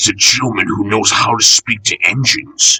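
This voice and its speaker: A man does a put-on character voice with growling. He keeps a moderate pace. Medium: read story. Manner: polite, touchy.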